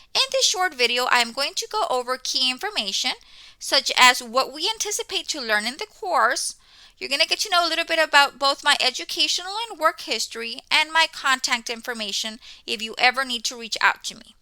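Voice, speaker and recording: Raised and projected, a woman's high, bright, sharp voice swings very widely in pitch at a fairly quick pace. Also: big swings in loudness. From Mexico. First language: Spanish. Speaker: college instructor. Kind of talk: course welcome talk. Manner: conversational, frequent 'okay' fillers.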